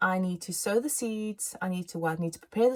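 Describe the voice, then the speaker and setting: A somewhat breathy woman talks at a fairly quick pace in an animated tone with ordinary pitch variation, on a very clean recording with a silent background. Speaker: tarot reader. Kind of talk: tarot reading monologue. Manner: fast.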